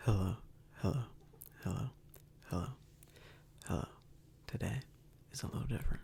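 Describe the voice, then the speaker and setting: Whispering at a fairly quick pace, a man leaves long, frequent pauses. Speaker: ASMR creator. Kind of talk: ASMR follow-my-instructions video. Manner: soft-spoken.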